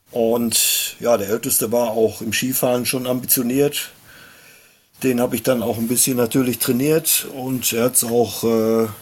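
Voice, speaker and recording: Over noticeable background noise, a man speaks at a fairly slow pace in a monotone, flat intonation. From Germany, Hochsauerland (Sauerland). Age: 50s. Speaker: sports club chairman and race organizer. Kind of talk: casual chat.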